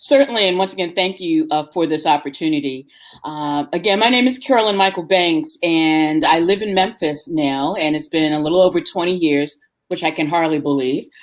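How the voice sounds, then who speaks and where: An unremarkable speaking voice in an American accent moves at a fairly quick pace with ordinary pitch variation. The recording is very clean, with a silent background. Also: woman, fairly low pitch for a woman. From New York City, the Bronx. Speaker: tour company owner. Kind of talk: interview. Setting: live stream interview.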